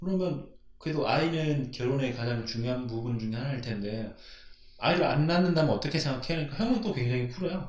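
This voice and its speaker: A man's fairly high-pitched voice, very fast and with lively intonation, in audible room echo. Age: 20s. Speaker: podcast co-host. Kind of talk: casual chat.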